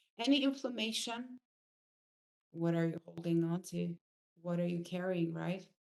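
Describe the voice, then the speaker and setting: A fairly low-pitched woman's voice at a moderate pace, with very wide pitch swings. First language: not English. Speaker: spiritual coach. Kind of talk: online course lesson. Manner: halting.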